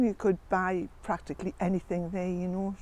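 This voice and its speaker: Dark, mellow tone from a woman, moderate in pace. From northern England, County Durham. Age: 70s. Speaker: local resident sharing memories. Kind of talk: oral history interview. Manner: casual, chatty with fillers.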